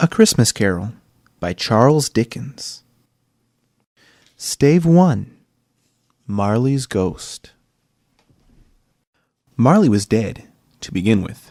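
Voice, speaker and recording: A man speaks very slowly at medium pitch with a dark, mellow tone and lively intonation, leaving long, frequent pauses. His loudness swings widely, and the sound is dry and close with no echo. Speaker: aspiring voice actor. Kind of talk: audiobook narration.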